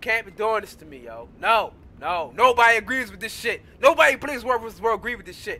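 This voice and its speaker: A man is shouting. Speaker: gaming youtuber, Guild Wars 2 player. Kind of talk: angry rant, profane comedic patch-notes tirade.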